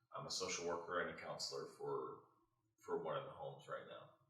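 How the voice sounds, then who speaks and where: Audible room echo surrounds a speaker with an American accent. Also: man. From Modesto, California. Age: 30s. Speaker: homeowner, social worker. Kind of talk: interview. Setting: at home.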